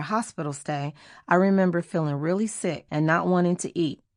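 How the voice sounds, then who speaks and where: An ordinary speaking voice from a woman with an American accent, fairly low pitch and ordinary pitch variation, at a fairly quick pace over a quiet background. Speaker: singer. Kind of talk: audiobook memoir narration.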